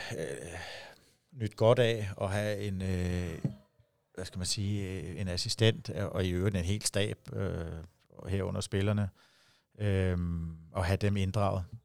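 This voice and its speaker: Speech comes at a very slow pace with long, frequent pauses and fairly even intonation. The recording is very clean, with a silent background. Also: man, fairly low pitch for a man. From Denmark, Herlev (Copenhagen area). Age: 40s. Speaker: handball head coach. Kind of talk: interview. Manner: halting, many fillers and repetitions.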